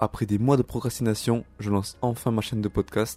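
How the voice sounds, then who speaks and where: In a very clean recording with a silent background, a man talks at a moderate pace in a plain, everyday voice at medium pitch. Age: 20s. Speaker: self-help podcaster. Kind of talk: solo monologue.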